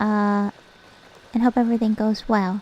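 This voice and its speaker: A woman speaks with a non-native accent. Her voice is fairly high and her pace fairly slow. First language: not English. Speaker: vtuber streamer. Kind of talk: casual chat while gaming. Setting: live stream. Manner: halting, repeats words.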